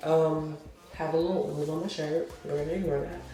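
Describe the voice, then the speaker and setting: A woman's fairly low voice with audible room echo and music in the background. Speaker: hair tutorial creator. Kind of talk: tutorial.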